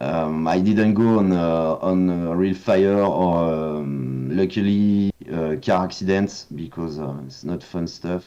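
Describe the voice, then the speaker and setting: Very slowly yet with hardly any pauses, a man with a French accent speaks at a very deep, low pitch and ordinary pitch variation. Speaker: video game concept artist. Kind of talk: casual interview chat. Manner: halting, many hesitations.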